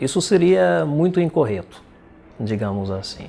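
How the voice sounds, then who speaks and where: Speaking at a fairly slow pace, the man's voice makes very wide pitch swings. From Belarus. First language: Russian (speaking Portuguese). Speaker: poet and translator. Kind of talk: interview.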